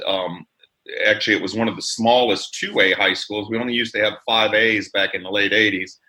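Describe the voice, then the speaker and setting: A man speaks fairly quickly with an American accent in a bright, sharp tone. His intonation is monotone and flat. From Chicago area, US Midwest, then central Florida from age 14. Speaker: firefighters union leader. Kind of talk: podcast interview.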